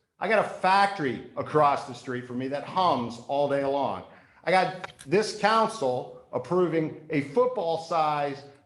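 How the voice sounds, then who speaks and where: Lively intonation at a fairly slow pace comes through with audible room echo. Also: man, fairly high pitch for a man. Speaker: town council member. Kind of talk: public meeting remarks. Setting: council meeting chamber. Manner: loud.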